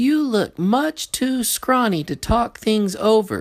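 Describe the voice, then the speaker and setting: A put-on character voice, fairly high in pitch and fairly slow, on a very clean recording with a silent background. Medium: read story. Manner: eager.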